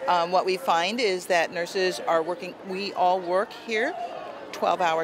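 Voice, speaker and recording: A woman is heard in a dry sound with no echo, over noticeable background noise. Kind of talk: interview answer. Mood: earnest, concerned. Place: street. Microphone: phone near.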